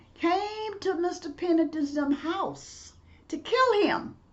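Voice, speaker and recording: In a Mississippi accent, a woman speaks at an extremely high pitch with lively intonation. She goes at a very slow pace amid audible room echo. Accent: US Southern, Mississippi. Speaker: professor and civil rights activist. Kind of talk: storytelling lecture.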